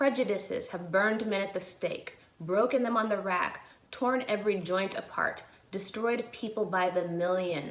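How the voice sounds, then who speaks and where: Using a normal speaking voice, a woman with an American accent talks at medium pitch and a moderate pace, her pitch varying in an ordinary way. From Chicago area, USA. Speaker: actor. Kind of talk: dramatic reading of a historic courtroom closing argument.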